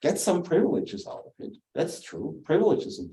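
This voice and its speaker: A dark, mellow tone at a fairly quick pace, with a German accent. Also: man. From southern Germany. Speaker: theologian and author. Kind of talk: lecture. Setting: church hall with small audience, also streamed. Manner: halting, many fillers.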